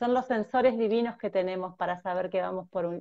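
A woman with a dark, mellow tone and ordinary pitch variation talks over a quiet background. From Argentina, Mar del Plata; Argentina. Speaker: transpersonal therapist; guest. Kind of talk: conversational interview, explanatory. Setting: video call on mobile phone. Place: home room. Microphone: earbuds.

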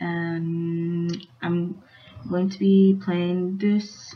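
A woman's voice comes through quiet, with ordinary pitch variation. Light background noise is present. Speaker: YouTube reaction vlogger; vlogger. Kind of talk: casual vlog talk; casual vlog chat. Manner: quiet, hushed. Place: home room. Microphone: webcam.

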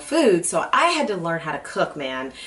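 This woman's voice sits at a fairly low pitch. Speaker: cooking show host. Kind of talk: casual personal chat to camera. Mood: warm, relaxed. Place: studio.

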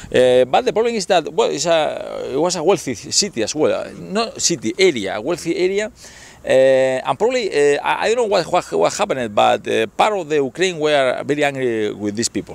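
A man at a moderate pace, with a dry sound and no echo. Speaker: local guide filming a visitor. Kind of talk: casual tour commentary. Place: street.

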